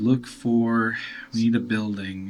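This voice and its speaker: Low in pitch, the speaker uses a put-on character voice. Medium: actual play.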